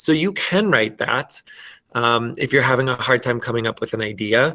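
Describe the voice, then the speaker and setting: With a Minnesotan accent, a man talks at medium pitch in a bright, sharp tone. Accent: Minnesota. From Minnesota, US. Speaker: elementary school teacher. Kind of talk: online class lesson. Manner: slow, clear enunciation.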